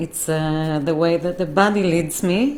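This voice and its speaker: A woman with a non-native accent speaks at a very slow pace, her voice very deep and low, with fairly even intonation. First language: not English. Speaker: holistic healer. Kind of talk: live stream talk. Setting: live stream from computer. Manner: halting, many fillers.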